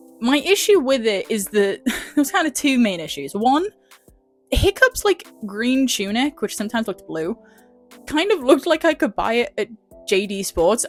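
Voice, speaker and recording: A woman speaks in a high voice with an English accent, her pitch swinging very widely. The sound is dry and close with no echo, and music plays in the background. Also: moderate pace. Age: young. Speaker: vlogger. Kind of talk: casual film review talk to camera. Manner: chatty, hesitant with many fillers.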